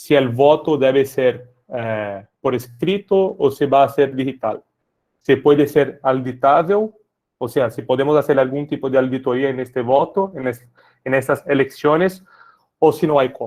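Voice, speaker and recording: Fairly slow speech in a Brazilian accent, with ordinary pitch variation. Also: man, fairly high pitch for a man. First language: Portuguese (speaking Spanish). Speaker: tech sales lead for public sector. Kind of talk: webinar presentation.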